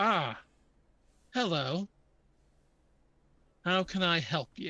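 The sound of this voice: At a very slow pace, a put-on character voice holds a middle pitch.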